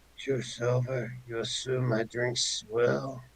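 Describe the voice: Putting on a raspy character voice at a medium pitch, a man speaks at a very slow pace.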